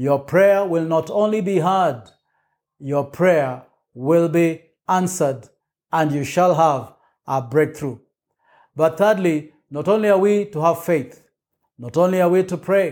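In a very clean recording with a silent background, a man with a fairly high pitch and a warm tone speaks at a very slow pace, with ordinary pitch variation and long, frequent pauses. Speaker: preacher. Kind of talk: sermon. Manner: emphatic, rhythmic pulpit delivery with repeated call-and-response style phrases; warm, encouraging, declarative.

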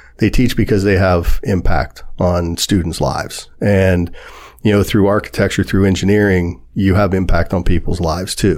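A man speaks with a Midwestern American accent in a very deep, low pitch. His pace is moderate, his loudness very even, and his intonation fairly even. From US Midwest, Warren, Ohio. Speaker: local businessman and developer. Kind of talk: casual interview chat. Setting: podcast studio.

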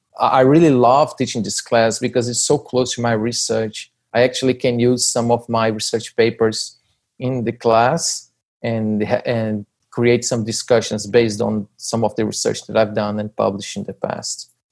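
With a Portuguese accent, this voice keeps a moderate pace and a monotone, flat intonation. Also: man, medium pitch for a man. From Brazil (Rio de Janeiro, then northeast Brazil). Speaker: business school professor. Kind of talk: interview.

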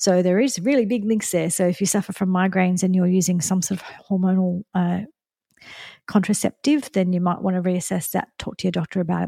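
With an Australian accent, a woman talks at a fairly quick pace in a medium pitch, somewhat breathy and with fairly even intonation, in a very clean recording with a silent background and a dry, close sound with no echo. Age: 50s. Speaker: nutritionist and podcast host. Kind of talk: personal monologue. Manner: halting.

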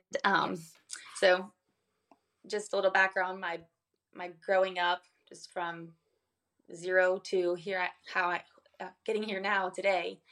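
A woman at medium pitch speaks at a fairly slow pace in a monotone, flat intonation, with big swings in loudness and long, frequent pauses. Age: 20s. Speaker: emotional abuse survivor. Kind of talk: testimony. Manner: halting.

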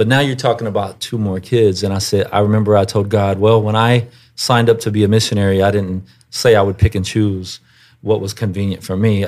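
A man with an American accent, fairly low-pitched and flat in a monotone, at a fairly quick pace, on a very clean recording with a silent background. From US South, Houston, Texas. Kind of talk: interview.

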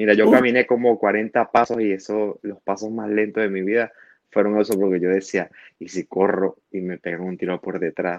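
Keeping a monotone, flat intonation, a man with a fairly low pitch talks at a moderate pace. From Venezuela, Maracaibo (Zulia). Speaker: asylum-seeking immigrant. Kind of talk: interview testimony.

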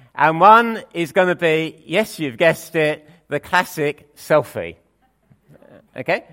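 A man speaks with lively intonation at a fairly slow pace, his pitch high. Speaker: preacher. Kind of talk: sermon. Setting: church.

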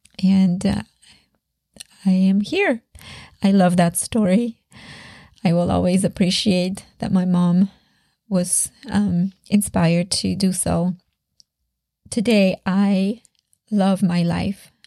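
A woman with a Polish accent speaks at a medium pitch with a dark, mellow tone that is somewhat breathy, and the sound is dry and close with no echo. Her delivery is monotone and flat, very slow, and broken by long, frequent pauses. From Poland, Sopot near Gdańsk. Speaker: faith podcaster and musician. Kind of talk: personal testimony monologue.

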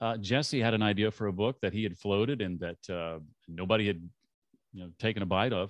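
Over a quiet background, a man's fairly low voice moves at a moderate pace with ordinary pitch variation, the sound dry and close with no echo. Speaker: former radio host turned podcaster and author. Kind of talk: interview. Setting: video call.

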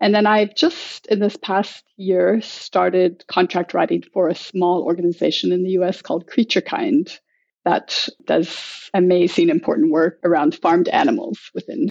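Speaking at a moderate pace with hardly any pauses, a woman with an American accent keeps a very even loudness. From United States. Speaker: food club organizer and writer. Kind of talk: casual interview.

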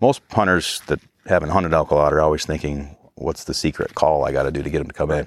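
Someone with an American accent speaks very fast with fairly even intonation. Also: man, very deep, low pitch for a man. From northern New York, US. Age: 40s. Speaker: hunting outfitter and guide. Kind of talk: interview. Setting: outdoors in the mountains.

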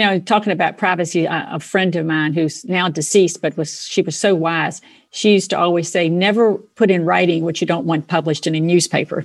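A woman with an unremarkable speaking voice talks at a fairly quick pace with hardly any pauses. Her pitch is fairly low and her intonation fairly even. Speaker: podcast host. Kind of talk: interview, polished host intro.

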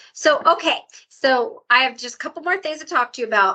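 A woman's bright, sharp tone with lively intonation at a moderate pace, against a quiet background. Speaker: podcast host. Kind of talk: interview.

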